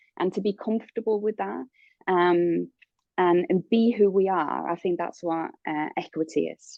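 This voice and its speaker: A woman with a slight Norwegian accent speaks at a moderate pace in a fairly low pitch. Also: ordinary pitch variation. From Norway. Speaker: interviewee sharing life story. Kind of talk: interview. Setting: in hospital. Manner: hesitant, many fillers.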